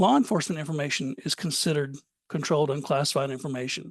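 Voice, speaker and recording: The speaker has an Alabama accent and a fairly quick pace. The background is quiet. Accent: Southern US (Alabama). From US South, Alabama. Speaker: cybersecurity compliance presenter. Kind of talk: webinar presentation. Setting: online webinar. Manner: fast.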